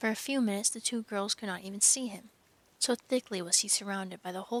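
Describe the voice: The plain reading aloud carries ordinary pitch variation.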